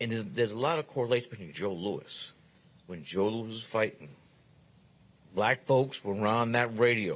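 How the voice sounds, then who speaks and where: A man with a New York accent, with big swings in loudness, long, frequent pauses and ordinary pitch variation. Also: medium pitch for a man, moderate pace. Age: 60s. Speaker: guest commentator. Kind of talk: casual chat.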